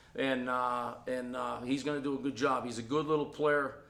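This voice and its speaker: The tone is bright and sharp, in a Boston accent. Room echo is audible. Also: man. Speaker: college football offensive line coach. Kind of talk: press conference interview. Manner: animated.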